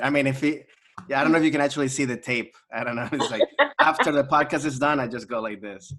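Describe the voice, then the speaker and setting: A man with a Spanish accent, fairly high in pitch, very fast in pace and fairly even in intonation. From US, Maryland (born in Venezuela). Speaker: comedian. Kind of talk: casual chat.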